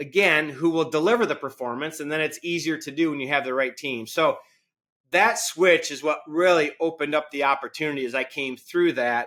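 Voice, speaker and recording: In a very clean recording with a silent background, a man speaks at a fairly high pitch with ordinary pitch variation and a fairly quick pace. His tone is energetic and intense, as well as bright and sharp. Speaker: company CEO. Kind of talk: interview. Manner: energetic, intense tone; loud laugh.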